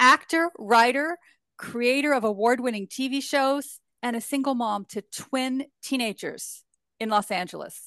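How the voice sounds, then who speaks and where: A woman with a high pitch speaks fairly slowly in a bright, sharp tone with ordinary pitch variation, the sound dry and close with no echo over a quiet background. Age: 60s. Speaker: podcast co-host and beauty business owner. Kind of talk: interview conversation. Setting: video call.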